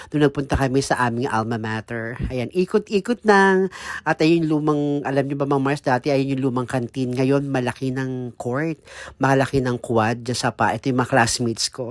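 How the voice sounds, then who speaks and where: A man talks at a moderate pace and medium pitch with ordinary pitch variation. The sound is dry and close with no echo, on a very clean recording with a silent background. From Philippines, Muntinlupa. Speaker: vlogger. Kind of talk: casual vlog monologue. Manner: animated.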